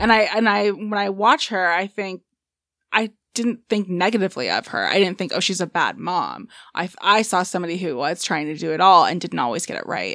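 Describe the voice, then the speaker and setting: Vocal fry marks this woman's voice. She moves along at a fairly quick pace. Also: medium pitch for a woman, ordinary pitch variation. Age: 30s. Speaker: podcast guest. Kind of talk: casual chat.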